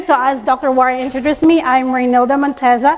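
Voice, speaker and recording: A woman's high-pitched voice at a fairly quick pace, with fairly even intonation and noticeable background noise. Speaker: soil science researcher. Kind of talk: conference presentation.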